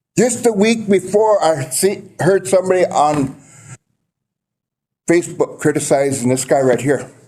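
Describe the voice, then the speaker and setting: In an American accent, the speaker's tone comes across dark and mellow. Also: man. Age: 60s. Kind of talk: public comment at council meeting. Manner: emotional, aggrieved.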